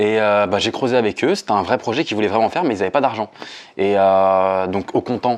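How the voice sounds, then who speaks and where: Against a quiet background, a man talks fairly quickly in a fairly low pitch, his pitch varying in an ordinary way. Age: 20s. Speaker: building renovation salesman. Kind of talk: interview testimony. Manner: hesitant, many fillers; casual.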